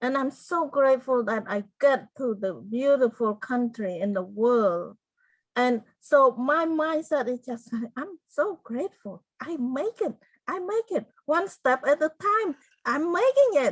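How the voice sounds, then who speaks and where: Her pitch swings very widely. A woman speaks high in a Cambodian accent. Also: fairly slow pace. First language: Khmer. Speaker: genocide survivor and author. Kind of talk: interview testimony. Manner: halting.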